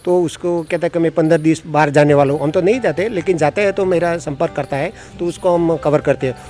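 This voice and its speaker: Over music in the background, a man speaks at a moderate pace with hardly any pauses. His pitch is high, with ordinary variation. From Gujarat, India. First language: Gujarati (speaking Hindi). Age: 60s. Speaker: old age home volunteer manager. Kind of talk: interview. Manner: halting.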